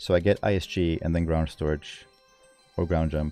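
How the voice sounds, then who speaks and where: Speaking at a fairly slow pace, a man talks with a Swedish accent. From Sweden. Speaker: speedrunner streamer. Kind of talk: live commentary. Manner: casual.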